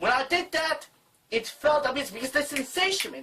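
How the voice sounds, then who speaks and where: A woman projects a raised voice at a high pitch. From Italy. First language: Italian. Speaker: YouTuber. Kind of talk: tutorial. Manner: halting.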